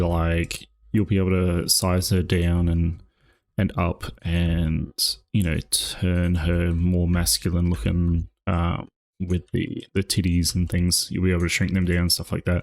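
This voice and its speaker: On a very clean recording with a silent background, a man with a very deep, low voice speaks at a fairly slow pace in a relaxed tone. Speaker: streamer and 3D modeler. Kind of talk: casual live stream chat while working. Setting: live stream with face tracking. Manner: sleepy, relaxed voice.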